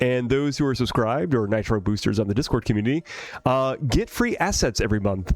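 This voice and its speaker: Heard on a very clean recording with a silent background, a man talks at a fairly quick pace. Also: dry, close sound with no echo. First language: not English. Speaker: streamer and 3D artist. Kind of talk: live stream chat while working. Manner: casual, hesitant with many fillers.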